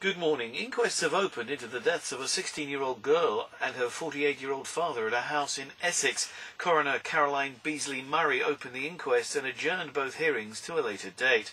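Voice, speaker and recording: A man speaks at a fairly quick pace with hardly any pauses. His voice is fairly high with lively intonation, over noticeable background noise. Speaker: radio news reader. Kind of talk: radio news read. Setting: studio.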